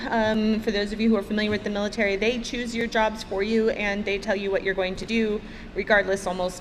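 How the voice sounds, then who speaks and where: A woman speaks with a fairly high pitch. There is audible room echo and noticeable background noise. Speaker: aerospace engineer and Air Force veteran. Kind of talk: conference panel talk. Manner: halting.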